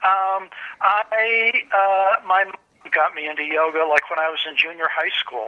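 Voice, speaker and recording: Someone with an American accent talks at a fairly slow pace against noticeable background noise. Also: man. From Michigan, US Midwest. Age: 60s. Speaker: book publisher and translator. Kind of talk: oral history interview. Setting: phone call.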